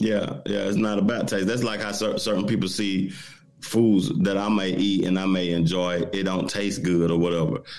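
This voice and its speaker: There is audible room echo as a man with a fairly low pitch talks at a moderate pace with fairly even intonation. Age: 40s. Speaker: podcast co-host. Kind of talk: casual chat.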